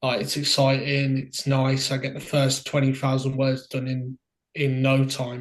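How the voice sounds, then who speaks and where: Against a quiet background, a man with a strong Brummie accent speaks at a moderate pace, his voice fairly high and somewhat breathy. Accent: Birmingham (Brummie), thick. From Birmingham, England (Solihull side). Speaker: indie author. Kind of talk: interview.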